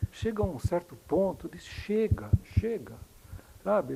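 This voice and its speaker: Vocal fry runs through a man's dark, mellow tone as his pitch swings very widely. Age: 70s. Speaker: debater, senior academic. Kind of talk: public debate.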